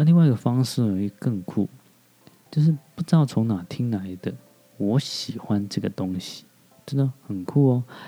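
This man speaks at medium pitch and a moderate pace with lively intonation. He leaves long, frequent pauses. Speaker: podcast host. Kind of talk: casual monologue. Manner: hesitant, many fillers.

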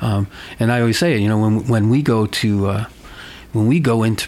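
In an American accent, a man of medium pitch talks at a fairly quick pace. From US Northeast (Connecticut). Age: 50s. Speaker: peace activist. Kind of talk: interview. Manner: halting.

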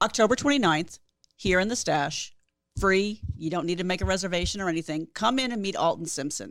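A woman with a plain, everyday voice speaks at a medium pitch with ordinary pitch variation, in a very clean recording with a silent background. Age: 50s. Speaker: podcast co-host. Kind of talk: casual banter podcast.

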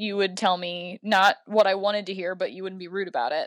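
A woman speaks in a normal speaking voice at a medium pitch, with fairly even intonation, a dry, close sound with no echo, and a very clean recording over a silent background. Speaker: occasional podcast co-host. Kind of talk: casual chat.

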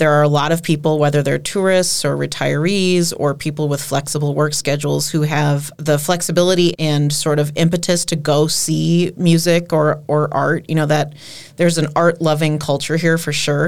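A woman's very deep, low voice in an American accent, monotone and flat, at a moderate pace with hardly any pauses and very even loudness. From Minnesota, Twin Cities. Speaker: singer-songwriter. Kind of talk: interview.

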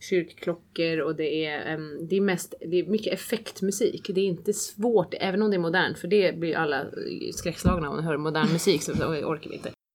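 A plain, everyday voice moves at a moderate speed, its pitch shifting in an ordinary way. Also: woman, fairly low pitch for a woman. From Switzerland. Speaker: opera singer. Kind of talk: interview.

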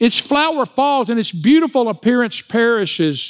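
A man talks with an American accent. The recording is very clean, with a silent background. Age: 60s. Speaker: pastor. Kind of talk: sermon. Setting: church.

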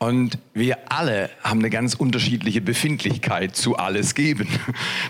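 Unforced, read-aloud delivery

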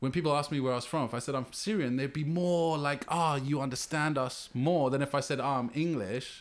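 Speaking with a London accent, a man talks at a fairly quick pace with hardly any pauses, his fairly high pitch showing ordinary variation, very even loudness, and a very clean recording over a silent background. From West London (Ealing). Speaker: hip hop artist and graffiti writer. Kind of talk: casual chat. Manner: halting.

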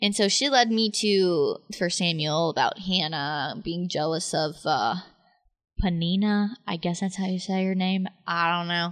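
With an ordinary speaking voice, a woman of medium pitch talks at a fairly slow pace with ordinary pitch variation over a quiet background. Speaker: podcast host, college student. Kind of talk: casual chat.

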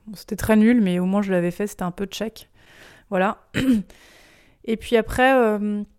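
The recording is very clean with a silent background. A woman speaks at a medium pitch with fairly even intonation. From provincial France. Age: 30s. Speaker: interviewee sharing her intimate life. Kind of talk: personal testimony in an interview. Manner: hesitant, frequent fillers.

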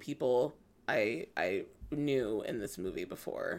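The speaker is a woman with a Californian accent. The recording is very clean, with a silent background. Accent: Californian American. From Los Angeles. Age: 20s. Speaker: talent manager. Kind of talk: casual chat.

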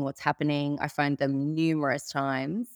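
A woman with an Australian accent, dry and close with no echo, on a very clean recording with a silent background. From Sydney, Australia. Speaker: cybercrime victim. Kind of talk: interview.

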